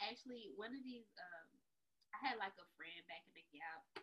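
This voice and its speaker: Her voice has a fairly high pitch, an animated tone, very wide pitch swings, and some vocal fry. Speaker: podcast host. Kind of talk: casual chat.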